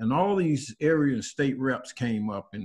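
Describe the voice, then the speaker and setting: Fairly slow male speech at a medium pitch. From US South, North Carolina (New Bern). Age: 60s. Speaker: community group participant. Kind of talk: personal testimony in group video call. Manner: halting, many fillers and repetitions.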